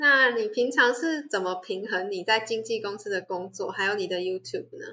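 With a Taiwanese accent, a woman with a fairly high pitch and a bright, sharp tone speaks at a moderate pace with hardly any pauses and ordinary pitch variation. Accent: Taiwanese Mandarin. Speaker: student podcast host. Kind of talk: interview hosting.

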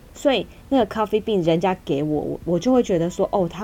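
Noticeable background noise sits under the recording. A woman talks with a fairly low pitch. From Taiwan. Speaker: podcast co-host. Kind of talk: casual chat. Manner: animated.

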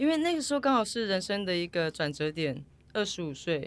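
The recording is very clean, and the background is silent. A woman talks at a moderate pace. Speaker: retired triathlete. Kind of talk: interview. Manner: animated.

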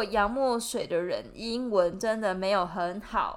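A woman with an ordinary speaking voice talks at a fairly slow pace and a fairly high pitch, with ordinary pitch variation. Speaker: podcast host, graduate student. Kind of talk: casual chat.

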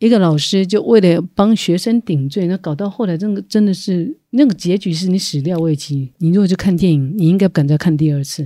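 The speaker, with a Taiwanese accent, talks at a fairly quick pace with hardly any pauses. The recording is very clean, with a silent background. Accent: Taiwanese Mandarin. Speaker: podcast co-host, former English teacher. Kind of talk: casual chat.

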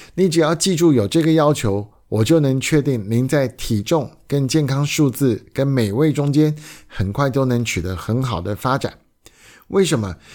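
In a very clean recording with a silent background, a man with a normal speaking voice and medium pitch speaks at a fairly slow pace with lively intonation. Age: 50s. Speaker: podcast host. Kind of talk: solo podcast monologue.

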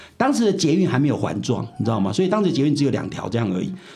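Amid audible room echo, a man speaks very fast with very wide pitch swings. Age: 70s. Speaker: philosophy professor. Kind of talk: interview.

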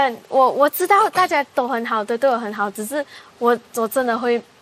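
Over noticeable background noise, a woman talks at a fairly quick pace in a high pitch with very wide pitch swings. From Malaysia. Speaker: singer. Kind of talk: casual chat.

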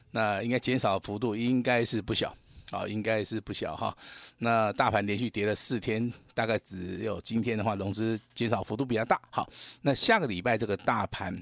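Against a very clean, silent background with dry, close sound and no echo, a man talks at a moderate pace in an unremarkable speaking voice, fairly low in pitch with fairly even intonation. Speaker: stock market analyst. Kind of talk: radio market commentary.

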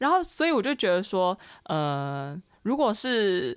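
On a very clean recording with a silent background, a woman speaks at a medium pitch with very wide pitch swings. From Taiwan, Xinzhuang. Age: 20s. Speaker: university student. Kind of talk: casual chat.

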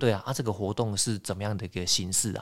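The speaker is a man whose pitch sits fairly low. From Taiwan. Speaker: podcast host. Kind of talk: casual interview.

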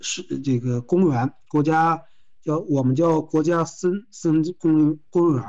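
At a very slow pace, a man talks in a fairly high pitch with a dark, mellow tone and fairly even intonation. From Manzhouli, Inner Mongolia, China. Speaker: travel company manager. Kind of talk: interview. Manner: halting.

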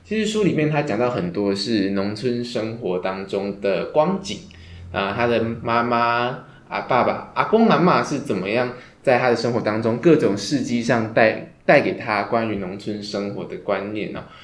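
Audible room echo surrounds a man of medium pitch who speaks at a moderate pace with ordinary pitch variation. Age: 20s. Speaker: podcast host. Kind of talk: casual book discussion.

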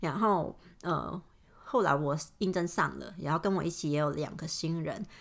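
On a very clean recording with a silent background, a woman with vocal fry and a fairly low pitch shows ordinary pitch variation. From Hong Kong. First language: Cantonese (speaking Chinese). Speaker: podcaster. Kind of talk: casual monologue. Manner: hesitant, many fillers.

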